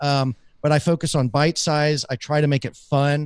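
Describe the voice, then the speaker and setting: In an American accent, a man with a fairly high pitch speaks at a fairly slow pace, the sound dry and close with no echo and the background quiet. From US South. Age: 40s. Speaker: podcaster and business coach. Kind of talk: casual interview chat. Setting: live stream.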